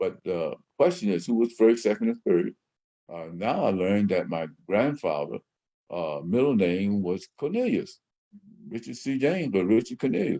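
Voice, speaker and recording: A man with a Southern US accent at a moderate pace. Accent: Southern US (Georgia). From US South, southwest Georgia. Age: 70s. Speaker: radio host. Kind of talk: personal storytelling monologue. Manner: halting, many fillers.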